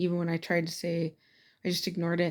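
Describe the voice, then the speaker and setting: Soft-spoken, this woman has a fairly low pitch. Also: very clean recording, silent background. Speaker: student. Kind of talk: casual spoken assignment response. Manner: casual, halting with fillers.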